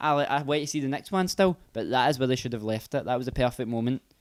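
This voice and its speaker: A man with a Scottish accent, at a very fast pace. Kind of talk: casual podcast conversation.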